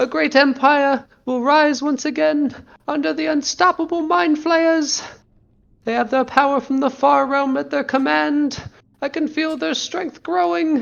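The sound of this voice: A high-pitched, put-on character voice carries the whole clip. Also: moderate pace.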